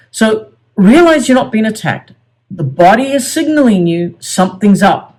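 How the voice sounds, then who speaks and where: Woman at medium pitch, somewhat breathy, at a moderate pace. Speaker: self-help coach. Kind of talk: tutorial. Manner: halting.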